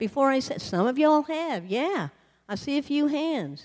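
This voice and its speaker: A woman with a Southern US accent, fairly slow in pace and swinging very widely in pitch. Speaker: missionary sharing testimony. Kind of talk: sermon testimony. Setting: church.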